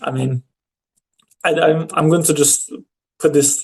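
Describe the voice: A man speaks in a slightly mellow tone with little pitch movement.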